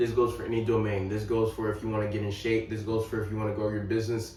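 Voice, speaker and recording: A man speaks with a fairly low pitch. The recording carries audible room echo and noticeable background noise. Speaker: fitness and life coach YouTuber. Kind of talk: motivational talk to camera. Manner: casual, conversational with fillers.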